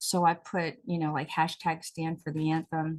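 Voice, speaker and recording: The voice belongs to a woman. It sits at a fairly low pitch. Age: 60s. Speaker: talk show host and actress. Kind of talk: casual chat.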